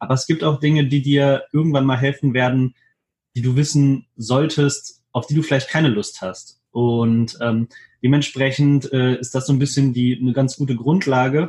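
Somewhat breathy speech from a man at a medium pitch, with fairly even intonation and a moderate pace. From Hannover, Germany. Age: 20s. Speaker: videographer and photographer. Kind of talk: interview.

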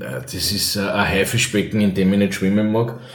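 Speech at a fairly slow pace with ordinary pitch variation, set against noticeable background noise and audible room echo. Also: man. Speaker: cabaret artist and former radio host. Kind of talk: casual interview.

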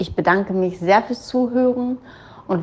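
A woman talks in a plain, everyday voice at a fairly slow pace. Her pitch varies in an ordinary way. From Germany. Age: 40s. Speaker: business coach. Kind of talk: personal monologue.

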